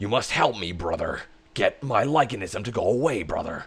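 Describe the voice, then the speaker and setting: At a moderate pace, a man does a put-on character voice at medium pitch. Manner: pleading, gruff.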